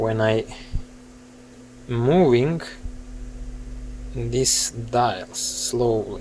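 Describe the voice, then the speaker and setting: The speech moves at a very slow pace with long, frequent pauses, in a dry sound with no echo and light background noise. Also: man. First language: Serbian. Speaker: hobbyist asking for repair help. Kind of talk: casual tutorial-style vlog. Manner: halting, with many fillers. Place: home room. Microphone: phone near.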